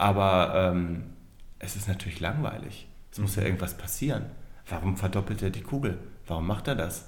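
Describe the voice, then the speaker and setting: Talking at a moderate pace with long, frequent pauses, a man has a very deep, low pitch, ordinary pitch variation and a somewhat breathy voice. Audible room echo surrounds him. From northern Germany, near Hannover. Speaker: magician. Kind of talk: casual interview. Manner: hesitant, many fillers.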